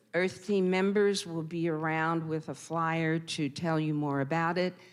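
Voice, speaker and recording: Over a quiet background, a woman with a plain, everyday voice speaks at a fairly slow pace in a fairly low pitch. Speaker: community volunteer. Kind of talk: church announcement.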